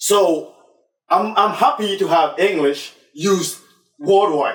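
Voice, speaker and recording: With a Ghanaian accent, a man talks at a very slow pace in a high pitch with ordinary pitch variation. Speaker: talk show host. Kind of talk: discussion show. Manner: halting.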